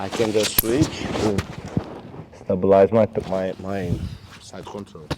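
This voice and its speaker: Noticeable background noise sits behind a man talking in a Brazilian Portuguese accent. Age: 40s. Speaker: jiu jitsu coach. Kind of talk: technique tutorial; casual interview chat.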